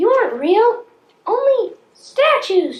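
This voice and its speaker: Extremely high and squeaky, this put-on character voice moves at a fairly slow pace. There is a slight echo. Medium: stage play.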